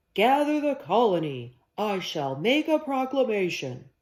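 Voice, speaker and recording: A man speaks in a put-on character voice, pitched high with very wide pitch swings, at a moderate pace. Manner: heroic, regal.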